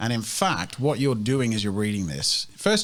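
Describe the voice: In plain reading aloud, the pitch shifts up and down by ordinary amounts.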